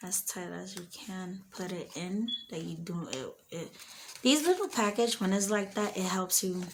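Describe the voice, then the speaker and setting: A soft-spoken, somewhat breathy woman at a fairly slow pace, with ordinary pitch variation. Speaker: home gardener. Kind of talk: tutorial.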